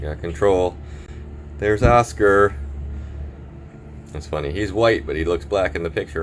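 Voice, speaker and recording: A man with a very deep, low pitch and ordinary pitch variation, at a fairly slow pace with long, frequent pauses. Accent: Wisconsin. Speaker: boat electronics installer. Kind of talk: casual tutorial narration. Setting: on a boat at a marina.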